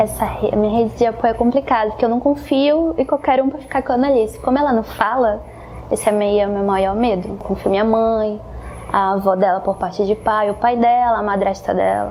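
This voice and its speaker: Fairly quick and fairly high, a woman's voice carries the speech. Noticeable background noise runs underneath. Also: ordinary pitch variation. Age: 20s. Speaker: young mother interviewed in documentary. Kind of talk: documentary interview testimony. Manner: halting, with fillers.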